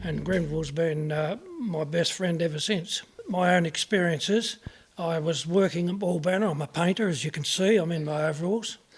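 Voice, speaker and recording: Over noticeable background noise, a high-pitched man speaks with an Australian accent. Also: fairly even intonation, moderate pace. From Tasmania, Australia. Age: 70s. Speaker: local witness, painter. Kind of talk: interview testimony.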